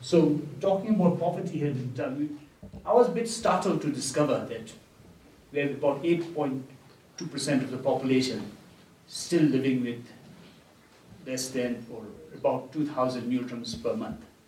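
Over noticeable background noise, a man with a fairly high pitch and lively intonation speaks at a fairly slow pace, leaving long, frequent pauses. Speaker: event host and moderator. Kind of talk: moderated interview and Q&A. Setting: live audience event.

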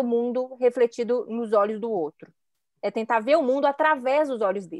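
The speaker has a Minas Gerais accent and talks at a moderate pace. The sound is dry and close, with no echo. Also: woman. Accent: Minas Gerais (mineiro). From Belo Horizonte, Minas Gerais, Brazil. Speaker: image consultant. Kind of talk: casual chat.

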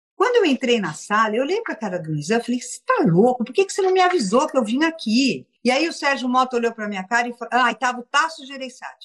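Talking at a very fast pace with hardly any pauses, a woman with a high pitch makes very wide pitch swings and big swings in loudness. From São Paulo, Brazil. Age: 60s. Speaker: entertainment businesswoman and philanthropist. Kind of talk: casual interview. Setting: video call, Instagram live.

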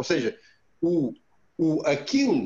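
A man speaks at a high pitch, his voice swinging very widely up and down. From Romania. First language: Romanian (speaking Portuguese). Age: 40s. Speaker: former canoeist and entrepreneur. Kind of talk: interview. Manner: halting.

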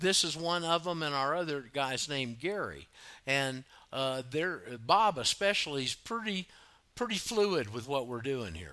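A man with a Southern US accent, a bright, sharp tone and a fairly high pitch, at a moderate pace, his pitch swinging very widely. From US South, Florida panhandle. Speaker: radio host. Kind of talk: call-in talk radio. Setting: online radio studio, Skype calls.

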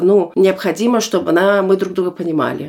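A woman at a medium pitch, speaking at a very fast pace. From Germany, born in Almaty, Kazakhstan. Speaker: guest. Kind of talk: casual chat.

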